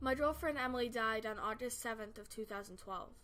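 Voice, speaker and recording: A woman speaks with an unremarkable speaking voice, pitched fairly high. Her pitch varies in an ordinary way. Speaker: creepypasta narrator. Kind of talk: horror story narration.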